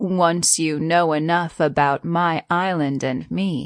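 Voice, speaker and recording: Someone uses a put-on character voice at a fairly slow pace over a quiet background. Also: woman, fairly low pitch for a woman. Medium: read story.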